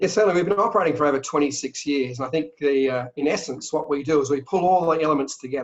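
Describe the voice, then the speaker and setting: In an Australian accent, a man with a fairly high pitch talks at a very fast pace with hardly any pauses, very even loudness and ordinary pitch variation. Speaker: travel company sales director. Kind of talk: interview. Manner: animated.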